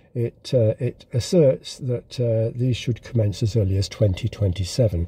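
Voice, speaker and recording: The man's voice has a medium pitch and a dark, mellow tone that is somewhat breathy. He keeps a moderate pace with ordinary pitch variation. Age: 60s. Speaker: video blogger. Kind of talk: casual monologue commentary. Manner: halting, many fillers.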